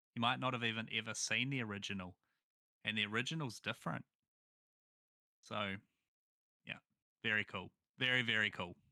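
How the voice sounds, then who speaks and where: The voice, with a New Zealand accent, has a bright, sharp tone and ordinary pitch variation at a fairly quick pace with long, frequent pauses. The sound is dry and close, with no echo. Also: man, medium pitch for a man. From New Zealand, small town. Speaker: gaming content creator. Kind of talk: casual chat.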